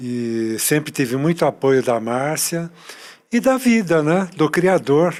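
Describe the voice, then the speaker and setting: Very slowly, a man speaks at a fairly high pitch, his pitch swinging very widely. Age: 70s. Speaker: retired spiritist volunteer. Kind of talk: podcast interview.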